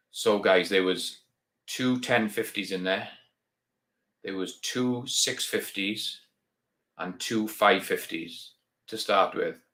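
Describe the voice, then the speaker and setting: A man with a Welsh accent at a very slow pace, with long, frequent pauses. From Wales. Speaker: reloading YouTuber. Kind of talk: live stream chat. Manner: casual, hesitant with many ums.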